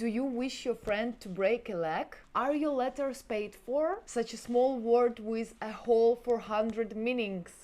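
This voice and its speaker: A woman with a fairly high pitch and a dark, mellow tone speaks fairly slowly and with hardly any pauses, in a Ukrainian accent. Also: ordinary pitch variation. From Ukraine. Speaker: vlogger. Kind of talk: talking-head video monologue.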